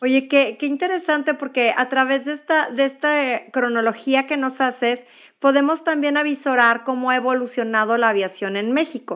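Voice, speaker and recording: A woman speaks with a high pitch and ordinary pitch variation at a moderate pace. She has hardly any pauses, on a very clean recording with a silent background. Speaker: podcast host. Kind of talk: casual interview.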